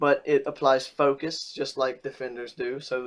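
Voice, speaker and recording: A man at a moderate pace. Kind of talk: game class guide tutorial. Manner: casual, hesitant.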